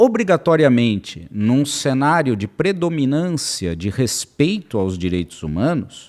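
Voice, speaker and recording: A man's voice moves through very wide pitch swings on a very clean recording with a silent background. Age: 60s. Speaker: lawyer and legal consultant. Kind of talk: podcast interview. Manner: animated.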